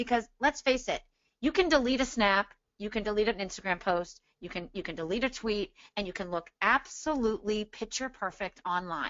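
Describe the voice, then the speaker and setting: Lively intonation at a moderate pace in an unremarkable speaking voice. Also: woman, fairly high pitch for a woman. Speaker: social media marketing expert. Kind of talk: webinar Q&A. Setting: joining by phone on a webinar. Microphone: phone audio only, no video.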